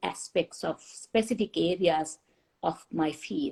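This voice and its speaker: Ordinary pitch variation marks a woman's voice of dark, mellow tone. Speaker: chemist. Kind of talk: interview. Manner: halting.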